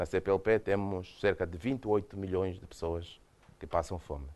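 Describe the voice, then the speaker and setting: In a Mozambican accent, a man with a very deep, low pitch speaks at a moderate pace. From Mozambique. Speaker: UN official, former government minister. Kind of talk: lecture. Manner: hesitant, repeats words.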